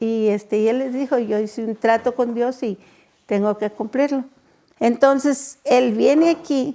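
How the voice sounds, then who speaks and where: A woman speaks at a fairly slow pace in a high voice. Her tone is dark and mellow, and her pitch varies in an ordinary way. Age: 70s. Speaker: children's home director. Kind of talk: interview testimony.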